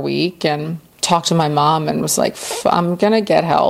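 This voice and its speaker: With an American accent, a woman speaks in a very deep, low voice at a fairly slow pace against noticeable background noise. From US South, Central Florida. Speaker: person in addiction recovery. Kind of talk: testimony.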